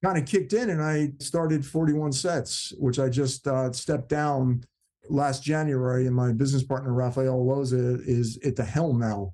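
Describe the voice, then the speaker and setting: With an American accent, a man talks at a moderate pace in a dark, mellow tone, his medium pitch held at a very even loudness. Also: ordinary pitch variation. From South Jersey, US. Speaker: actor. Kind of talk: casual chat.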